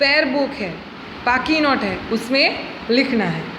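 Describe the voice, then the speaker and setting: With a Gujarati accent, a woman talks in a high voice with ordinary pitch variation. Noticeable background noise and audible room echo are present. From Gujarat, India. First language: Gujarati (speaking Hindi). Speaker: school teacher. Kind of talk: lesson for schoolchildren. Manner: slow, explanatory.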